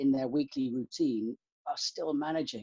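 A man speaks with a British accent. His tone is dark and mellow, and the sound is dry with no echo. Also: quiet background. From UK, countryside. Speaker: university student life officer. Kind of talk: interview. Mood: calm, thoughtful. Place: home room. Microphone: webcam.

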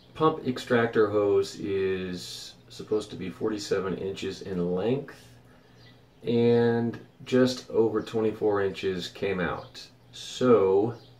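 Speaking very slowly in a fairly low pitch, a man uses ordinary pitch variation, with audible room echo around him. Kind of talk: casual vlog chat. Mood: mildly frustrated, reflective. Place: boat. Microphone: phone near.

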